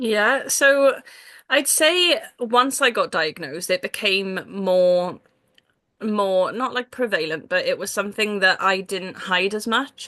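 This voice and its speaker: In a Welsh accent, the voice moves at a very slow pace with lively intonation. Its tone is bright and sharp. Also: woman. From Wales. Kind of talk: casual interview chat. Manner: many fillers (um, like, yeah).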